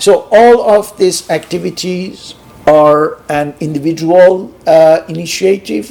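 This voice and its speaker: A man with a Persian accent talks at a very slow pace in a fairly high pitch with ordinary pitch variation, over noticeable background noise. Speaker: sociologist and philosophy researcher. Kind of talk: lecture. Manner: halting, many hesitations.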